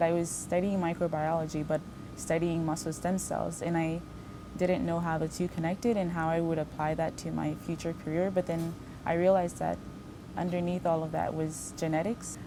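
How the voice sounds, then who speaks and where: Woman at a fairly low pitch, moderate pace and monotone, flat intonation. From Haiti, moved to US at about 8. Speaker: postbaccalaureate research fellow. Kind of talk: interview monologue. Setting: laboratory.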